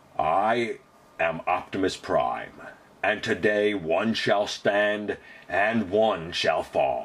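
A man puts on a character voice with a fairly low pitch. He goes at a very slow pace.

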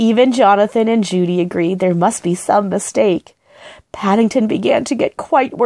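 Someone reads aloud in a natural voice, pitch varying in an ordinary way, with a quiet background.

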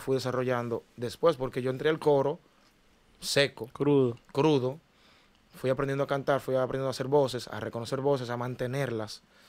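With a plain, everyday voice, a man speaks at medium pitch and a moderate pace with fairly even intonation. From Dominican Republic, Cristo Rey (Santo Domingo); Dominican Republic. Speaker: singer, ex talent show contestant; podcast guest. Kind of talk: interview. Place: studio. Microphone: studio mic.

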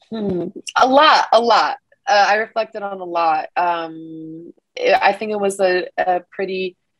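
A woman at a fairly slow pace with ordinary pitch variation, in a quiet setting with dry sound and no echo. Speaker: interviewee. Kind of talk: interview answer. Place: home room. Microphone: webcam.

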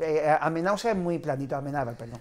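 A man talks at a very fast pace. His pitch variation is ordinary. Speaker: film club organizer; film commentator guest. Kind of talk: casual interview. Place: studio. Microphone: lapel.

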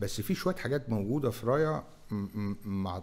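A man talks at a fairly quick pace with a fairly low pitch. His tone is dark and mellow, with ordinary pitch variation. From Egypt, Cairo. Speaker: fintech company CEO; guest. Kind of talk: interview. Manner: halting, repeats words. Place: studio. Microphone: studio mic.

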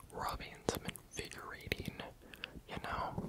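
Amid noticeable background noise, the words come as a whisper at a fairly slow pace. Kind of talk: ASMR whispering. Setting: studio. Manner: whispered.

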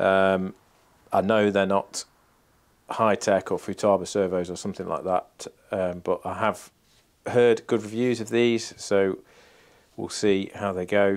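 A man's fairly low voice at a fairly slow pace, with fairly even intonation, long and frequent pauses, and a quiet background. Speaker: RC model plane YouTuber. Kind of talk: build tutorial. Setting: home workshop. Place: workshop.

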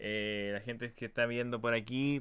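A man of medium pitch with a Chilean accent. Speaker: talk show host. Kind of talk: casual interview. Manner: animated. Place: home room.

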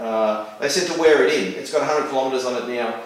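The voice moves at a fairly quick pace with fairly even intonation. Strong room echo fills the recording. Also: man.

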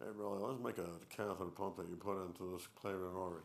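Over clear background noise, a man mumbles at a very fast pace in a put-on character voice with a very deep, low pitch and fairly even intonation. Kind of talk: lecture. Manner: mumbling.

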